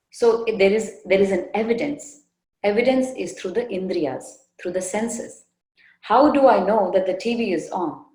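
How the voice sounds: The delivery is a natural reading voice with ordinary pitch variation. The background is quiet.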